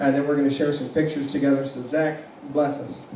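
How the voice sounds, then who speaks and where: A man's voice amid noticeable background noise and audible room echo. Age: 60s. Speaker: pastor. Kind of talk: casual speech to an audience.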